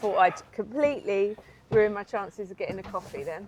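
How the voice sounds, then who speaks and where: Speaking in a West Country accent, a woman talks at a moderate pace with a medium pitch and ordinary pitch variation. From Somerset, England. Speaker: van-life vlogger. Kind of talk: casual chat. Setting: in a car. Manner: animated.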